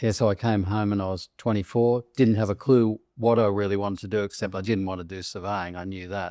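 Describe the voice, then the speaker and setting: In an Australian accent, a man with a fairly low pitch and a dark, mellow tone speaks at a fairly quick pace with fairly even intonation and hardly any pauses, recorded dry and close with no echo against a quiet background. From Australia, Sydney Northern Beaches. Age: 70s. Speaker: real estate agency founder. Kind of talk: interview.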